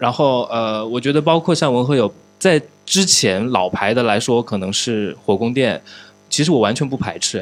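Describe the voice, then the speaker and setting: Here a man speaks at a moderate pace in an ordinary speaking voice. His medium pitch moves with lively intonation. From Changsha, Hunan, China. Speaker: podcast host. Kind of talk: casual chat. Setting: studio.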